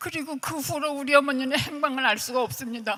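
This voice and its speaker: High, woman's voice, its pitch shifting by a normal amount. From Korea, Seoul. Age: 80s+. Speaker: bereaved family member of war victims. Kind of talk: testimony.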